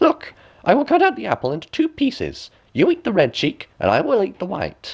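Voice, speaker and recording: Using a put-on character voice, a man talks at a fairly quick pace with an extremely high pitch. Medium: read story. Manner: scheming, sly.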